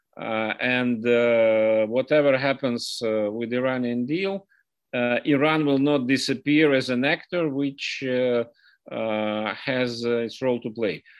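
A man speaks with a Russian accent. His pace is fairly slow and his pitch varies in an ordinary way. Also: medium pitch for a man. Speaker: foreign policy analyst. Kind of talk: interview. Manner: halting, many fillers.

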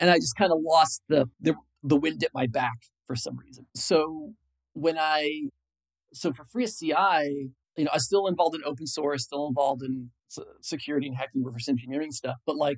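In a normal speaking voice with an American accent, a man talks at a moderate pace and fairly high pitch, with ordinary pitch variation, big swings in loudness and a dry, close sound with no echo. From Illinois, US Midwest. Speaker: software engineer. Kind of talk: interview.

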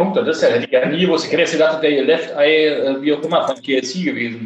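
Here a man speaks in a plain, everyday voice, fairly high in pitch. His pace is fairly quick, and his pitch varies in an ordinary way. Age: 30s. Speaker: podcast host. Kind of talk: casual chat. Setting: recording from home during quarantine.

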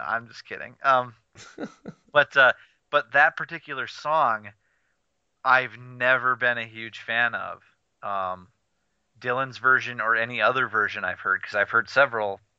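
At a moderate pace, a man with a medium pitch talks in fairly even intonation, leaving long, frequent pauses while his loudness swings widely. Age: 20s. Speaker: podcast co-host. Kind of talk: casual chat.

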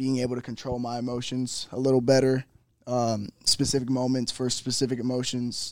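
Monotone, flat intonation at a medium pitch from a man. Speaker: professional baseball player. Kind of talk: interview. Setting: on location at a university.

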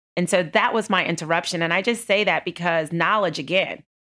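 A woman with a plain, everyday voice speaks at a fairly quick pace with fairly low pitch and fairly even intonation, in an American accent, on a very clean recording with a silent background. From Texas. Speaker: banking executive. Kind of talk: interview. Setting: office.

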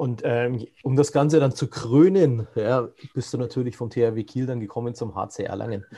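At a moderate pace, a man with a medium pitch and a dark, mellow tone speaks in a somewhat breathy voice with ordinary pitch variation. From Franconia. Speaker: podcast host. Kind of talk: interview. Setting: video call.

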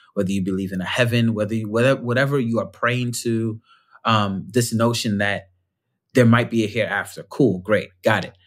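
With an ordinary speaking voice, a man talks at a moderate pace in a fairly low pitch with fairly even intonation, on a very clean recording with a silent background. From New York, the Bronx. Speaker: storyteller and author. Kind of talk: interview conversation.

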